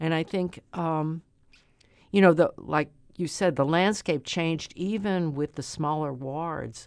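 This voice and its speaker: This woman talks at a fairly slow pace with a St. Louis accent, her intonation fairly even. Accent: St. Louis Midwestern American. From St. Louis, Missouri (South St. Louis). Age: 70s. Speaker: city alderwoman, retired school principal. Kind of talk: interview. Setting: studio. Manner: halting, many fillers and repetitions.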